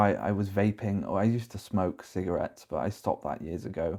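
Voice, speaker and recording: Fairly quick, fairly even speech in a British accent, on a very clean recording with a silent background. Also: man. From UK. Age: 30s. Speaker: vlogger. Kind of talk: personal vlog confession. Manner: halting, repeating words.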